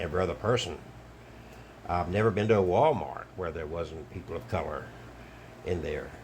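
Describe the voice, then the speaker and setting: A man's very deep, low voice with an American accent, somewhat breathy, at a fairly quick pace with lively intonation, long, frequent pauses, and audible room echo. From Alabama, US South. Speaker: online commentator, travelling wedding officiant. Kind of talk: monologue video commentary.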